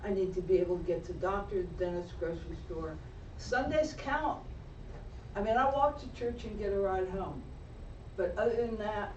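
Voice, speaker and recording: Long, frequent pauses break up the speech, with noticeable background noise throughout. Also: moderate pace. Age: 70s. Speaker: public commenter, bus rider. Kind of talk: public comment.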